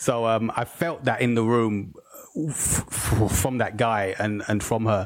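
A man with a London accent talks at a fairly slow pace, keeping a medium pitch with fairly even intonation. His loudness stays very even over noticeable background noise. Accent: British (London). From England (London), Jamaican heritage. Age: 40s. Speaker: filmmaker and podcast host. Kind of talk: casual chat. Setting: video call.

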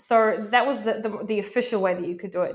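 On a very clean recording with a silent background, a woman with a New Zealand accent speaks at a medium pitch with ordinary variation. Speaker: Amazon seller and coach. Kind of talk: podcast interview.

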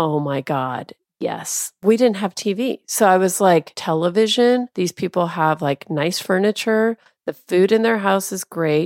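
A woman with an American accent and a normal speaking voice talks at a medium pitch and a fairly slow pace. The recording is very clean, with a silent background and a dry, close sound with no echo. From US Pacific Northwest, Tacoma. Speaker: travel editor and publisher. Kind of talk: casual chat.

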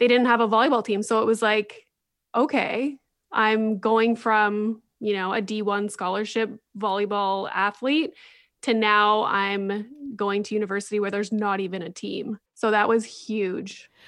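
Speaking at a fairly slow pace, a woman with a Canadian accent has an unremarkable speaking voice, a fairly high pitch and fairly even intonation, heard on a very clean recording with a silent background. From Northern Ontario, Canada (Sudbury). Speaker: psychologist and podcaster. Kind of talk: interview conversation.

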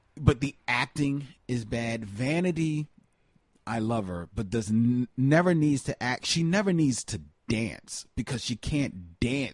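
In a plain, everyday voice, a man with an American accent talks at a fairly slow pace with lively intonation. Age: 40s. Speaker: film podcast co-host. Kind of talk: casual chat. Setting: studio, in person with co-host.

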